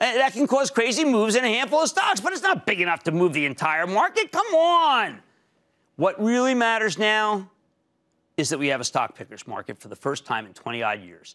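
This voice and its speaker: A man speaks at a fairly quick pace in a raised, projected voice, his pitch swinging very widely and his tone bright and sharp, over a quiet background. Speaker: TV market show host. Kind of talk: energetic market commentary. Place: studio. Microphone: lapel.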